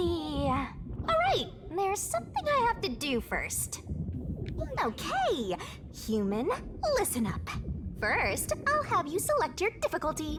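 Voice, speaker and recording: Loud background noise surrounds a put-on character voice delivered at a fairly slow pace. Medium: game stream. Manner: teasing, playful.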